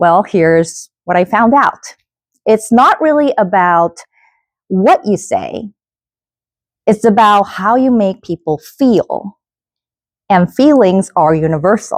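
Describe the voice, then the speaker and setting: Very slow speech with a Korean accent, lively intonation, long and frequent pauses, and very even loudness, in a very clean recording with a silent background and a dry, close sound with no echo. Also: woman, medium pitch for a woman. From South Korea. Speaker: event host and keynote speaker. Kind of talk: keynote speech. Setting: stage with audience at a workshop.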